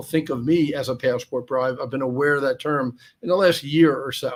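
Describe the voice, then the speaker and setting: Speaking with an American accent at a fairly quick pace, a man with fairly high pitch uses an ordinary speaking voice and fairly even intonation. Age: 60s. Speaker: expat guest. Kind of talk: casual interview chat.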